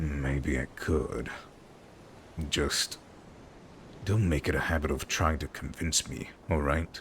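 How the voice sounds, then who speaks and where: In a put-on character voice, a man speaks at a very deep, low pitch and a fairly slow pace with long, frequent pauses. Background noise is clearly audible. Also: fairly even intonation. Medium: game stream. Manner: guarded, curt.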